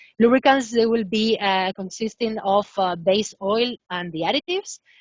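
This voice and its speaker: A woman with a Spanish accent speaks at medium pitch with ordinary pitch variation. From Spain. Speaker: professor. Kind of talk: webinar lecture. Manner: hesitant, many fillers.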